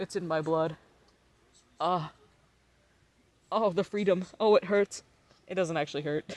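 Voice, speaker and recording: The speaker has an American accent and talks at a moderate pace with fairly even intonation and long, frequent pauses. The sound is dry and close, with no echo. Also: man, high pitch for a man. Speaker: livestreamer. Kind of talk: casual chat. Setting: live stream. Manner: giggly.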